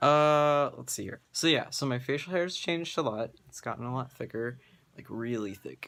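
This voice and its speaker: A male voice with ordinary pitch variation. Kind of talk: casual vlog update. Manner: casual with many fillers.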